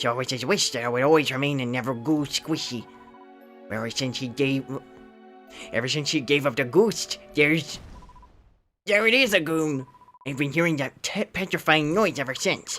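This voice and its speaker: Faint music plays in the background as a put-on character voice at a low-to-middle pitch moves at a moderate pace with long, frequent pauses. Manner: gooey, squelchy.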